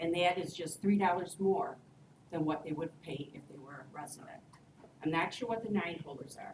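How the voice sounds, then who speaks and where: Through audible room echo and noticeable background noise, a woman speaks at a fairly low pitch with ordinary pitch variation. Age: 60s. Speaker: resident addressing city council. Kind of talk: public comment at council meeting.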